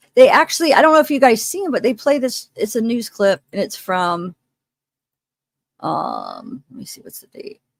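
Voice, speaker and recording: Her high-pitched voice comes with long, frequent pauses throughout. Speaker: true crime streamer. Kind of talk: livestream commentary. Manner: casual, hesitant.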